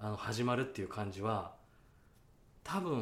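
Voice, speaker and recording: The speaker's somewhat breathy voice moves at a moderate pace. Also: man. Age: 30s. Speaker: actor and podcast co-host. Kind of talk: casual chat. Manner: animated.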